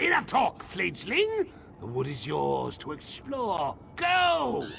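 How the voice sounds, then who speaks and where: Over clear background noise, a man does a put-on character voice at a very slow pace. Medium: video game. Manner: pompous, repetitive cawing speech.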